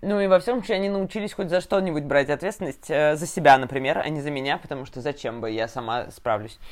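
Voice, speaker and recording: A woman speaks at a very fast pace with hardly any pauses. Her very deep, low voice moves in very wide pitch swings. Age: 20s. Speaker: podcast host, designer. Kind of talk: casual chat.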